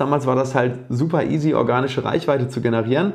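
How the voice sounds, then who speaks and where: With a fairly high pitch, a man speaks at a very fast pace. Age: 30s. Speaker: dentist and oral surgeon. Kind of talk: casual interview. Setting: at home.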